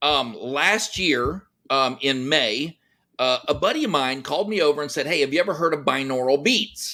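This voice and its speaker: Loud and bright with a sharp tone, a man with a fairly high voice and an American accent speaks at a moderate pace with ordinary pitch variation. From Texas. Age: 50s. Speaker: entrepreneur and army veteran. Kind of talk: podcast interview.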